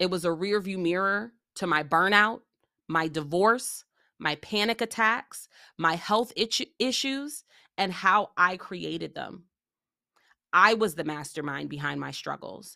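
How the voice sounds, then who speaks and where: A woman's medium-pitched voice, bright and sharp in tone, with lively intonation at a fairly slow pace, in a very clean recording with a silent background. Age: 30s. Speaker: podcast host and leadership coach. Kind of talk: monologue podcast intro.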